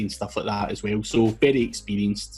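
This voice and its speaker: Music plays in the background. A man speaks with a Scottish accent at a fairly low pitch. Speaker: SEO specialist and entrepreneur. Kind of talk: interview.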